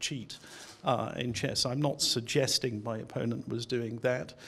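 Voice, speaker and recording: A man at a moderate pace. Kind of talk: interview answer. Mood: mildly aggrieved, earnest. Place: hall. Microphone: handheld.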